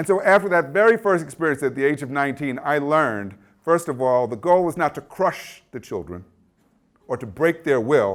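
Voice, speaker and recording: A man with a fairly high pitch swings it very widely, recorded very cleanly against a silent background. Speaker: education professor. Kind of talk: lecture. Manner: fast.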